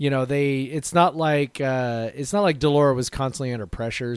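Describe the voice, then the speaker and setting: Delivered at a moderate pace, a normal speaking voice comes through on a very clean recording with a silent background. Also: man. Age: 40s. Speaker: sports podcast co-host. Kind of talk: casual chat.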